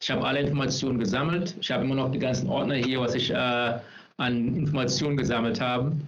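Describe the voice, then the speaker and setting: Over audible room echo, a man with an English accent talks at a very fast pace and medium pitch, with ordinary pitch variation and very even loudness. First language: English (speaking German). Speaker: personal branding specialist. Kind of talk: interview. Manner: halting, many fillers. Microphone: no headphones, echo in recording.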